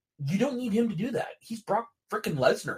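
At a moderate pace, a man speaks with lively intonation in a somewhat breathy voice. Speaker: wrestling podcast co-host. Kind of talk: casual chat.

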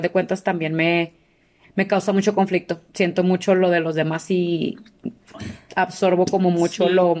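Fairly slow pace from a plain, everyday voice. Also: woman. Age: 30s. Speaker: podcast co-host, English teacher. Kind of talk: casual chat.

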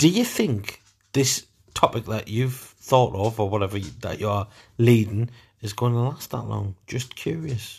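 A northern English accent comes through with ordinary pitch variation. The recording is very clean, with a silent background. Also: man, medium pitch for a man, moderate pace. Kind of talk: casual chat. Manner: loud.

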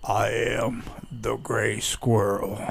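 Clear background noise behind a man doing a put-on character voice.

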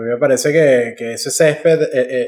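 This man talks at a fairly quick pace in a Venezuelan accent, his pitch fairly high. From Venezuela, Valles del Tuy and Falcón. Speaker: podcast co-host. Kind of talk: casual chat.

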